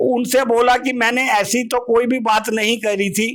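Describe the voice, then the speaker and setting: With ordinary pitch variation, a man talks at an extremely high pitch. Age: 60s. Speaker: retired airline officer, assault victim. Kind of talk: interview testimony. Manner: halting.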